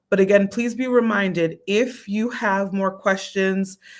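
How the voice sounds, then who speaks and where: In a very clean recording with a silent background, a woman speaks in a normal speaking voice at a moderate pace, medium in pitch with fairly even intonation. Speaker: founder of a medical association hosting an info session. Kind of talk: live stream info session. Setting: live stream. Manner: casual, encouraging.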